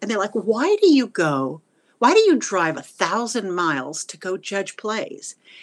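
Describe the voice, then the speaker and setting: A woman with a medium pitch talks at a fairly slow pace over a quiet background. Her pitch swings very widely and her loudness swings a lot. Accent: Texan. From Texas, Wichita Falls. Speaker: retired theater teacher. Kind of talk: interview.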